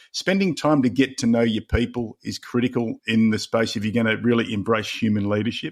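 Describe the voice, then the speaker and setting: Speaking at a fairly quick pace, a man with an Australian accent uses a medium pitch with ordinary pitch variation in a very clean recording with a silent background. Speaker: leadership coach and author. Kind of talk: podcast interview.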